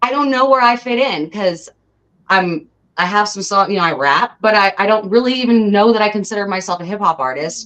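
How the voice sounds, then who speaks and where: At a fairly quick pace, a woman with an American accent talks in a normal speaking voice at a medium pitch with lively intonation. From Southern California. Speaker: rapper and singer. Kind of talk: interview.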